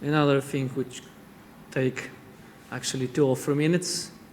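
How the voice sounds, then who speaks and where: Fairly high pitch from a man, with fairly even intonation. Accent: Polish. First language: Polish. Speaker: chef. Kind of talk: cooking demonstration. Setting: studio. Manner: halting.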